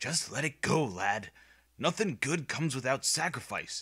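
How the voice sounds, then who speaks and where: Using a put-on character voice, a man speaks in a raspy, fairly high pitch at a moderate pace. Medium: read story. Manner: blunt, gruff.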